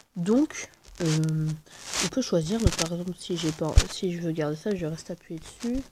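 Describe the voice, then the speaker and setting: A soft-spoken woman talks at a fairly slow pace with long, frequent pauses. Her voice is fairly low, somewhat breathy and dark and mellow in tone, with ordinary pitch variation. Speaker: gaming YouTuber. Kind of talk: gameplay commentary. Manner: quiet, speaking softly; hesitant, many fillers.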